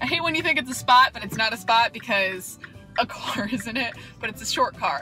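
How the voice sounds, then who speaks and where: Over faint background music, a woman speaks in a raised, projected voice. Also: dry sound with no echo. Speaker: vlogger. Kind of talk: casual vlog chat. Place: car. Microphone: phone near.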